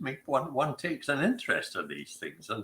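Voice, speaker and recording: A man talks with a Scottish accent. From Scotland. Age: 80s+. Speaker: author and whisky society founder. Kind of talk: interview. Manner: halting.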